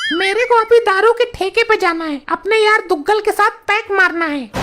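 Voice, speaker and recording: A woman's cartoonish character voice, extremely high in pitch, with ordinary pitch variation and a moderate pace. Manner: crude, rude.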